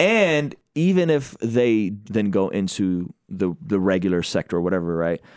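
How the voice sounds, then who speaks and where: With a plain, everyday voice, a man talks at a moderate pace with hardly any pauses, his fairly low pitch moving in lively intonation at very even loudness on a very clean recording with a silent background. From Azerbaijan (Baku), raised in US from childhood. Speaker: hip-hop artist and spoken word poet. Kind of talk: casual chat.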